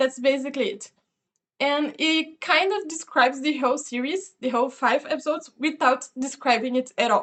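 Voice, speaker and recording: The pace is moderate. Pitch moves in an ordinary way. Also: woman, high pitch for a woman. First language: not English. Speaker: video reviewer. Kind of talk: casual review monologue. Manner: hesitant, many fillers.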